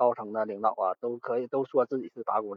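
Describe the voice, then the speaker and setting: The pace is fairly quick. A man delivers it with fairly even intonation. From Northeast China, Liaoning. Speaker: assembly line worker. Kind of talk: casual chat. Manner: halting. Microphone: poor recording quality.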